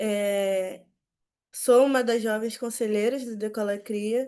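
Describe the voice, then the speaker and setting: Over a quiet background, a woman speaks very slowly in a fairly high voice with a dark, mellow tone and fairly even intonation. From Rio de Janeiro, west zone. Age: 20s. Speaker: youth community leader. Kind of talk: panel talk.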